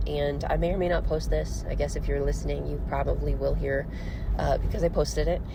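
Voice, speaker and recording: A woman with an American accent talks at a very fast pace. The room echoes audibly, and there is noticeable background noise. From US Midwest, Missouri. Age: 20s. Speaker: podcaster. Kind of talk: casual monologue. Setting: in a car. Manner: rambling, hesitant with fillers.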